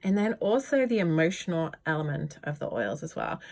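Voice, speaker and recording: On a very clean recording with a silent background, a woman with a British accent and a fairly low voice speaks in a warm tone with lively intonation. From Britain. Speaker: yoga teacher and essential oil educator. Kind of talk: informal tutorial video. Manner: warm, chatty.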